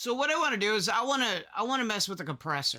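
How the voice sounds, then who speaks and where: A man speaks in a raised, projected voice with a bright, sharp tone. The recording is very clean, with a silent background. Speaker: content creator. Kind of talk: tutorial. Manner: loud; animated.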